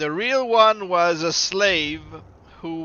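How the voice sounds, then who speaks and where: In a Quebec accent, the speaker talks at a very slow pace. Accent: Québécois French accent in English. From Quebec, Canada. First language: French. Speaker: gaming streamer. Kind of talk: live gameplay commentary. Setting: live stream.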